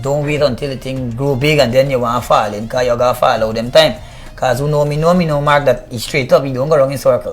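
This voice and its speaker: With music in the background, a man with a Guyanese accent talks at a very fast pace, his pitch fairly high and his intonation fairly even. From Guyana, Buxton. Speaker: reggae artist. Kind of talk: interview.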